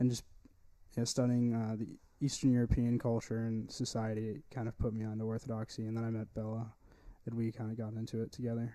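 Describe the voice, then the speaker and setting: Speaking very fast in a monotone, flat delivery, a man with a Texan accent has a dark, mellow tone. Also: medium pitch for a man. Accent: Texan American. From East Texas. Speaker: podcast host. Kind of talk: casual chat. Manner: halting.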